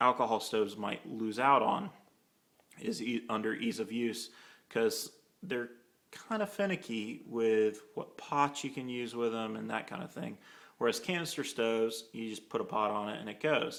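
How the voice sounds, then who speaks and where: A man speaks at a medium pitch with ordinary pitch variation. His speech has long, frequent pauses. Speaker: hiking gear video maker. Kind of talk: casual product comparison talk. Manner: hesitant, many fillers and restarts; casual conversational.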